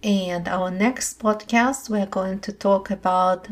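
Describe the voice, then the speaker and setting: Somewhat breathy and at a medium pitch, a woman speaks at a very slow pace in a soothing, gentle tone with fairly even intonation. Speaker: meditation teacher. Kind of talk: guided meditation. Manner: slow, soothing, gentle; calm, soft-spoken, measured.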